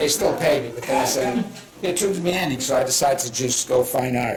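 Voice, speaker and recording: A man's fairly high voice with a strong Boston accent, a fairly quick pace, audible room echo and noticeable background noise. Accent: heavy Boston. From Boston area, US. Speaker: painter. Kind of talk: art demonstration talk.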